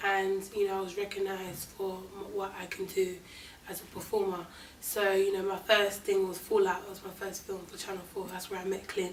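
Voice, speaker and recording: There is audible room echo and noticeable background noise as a woman in a London accent speaks at a moderate pace and medium pitch, her intonation monotone and flat and her loudness swinging widely. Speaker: actress. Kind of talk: interview.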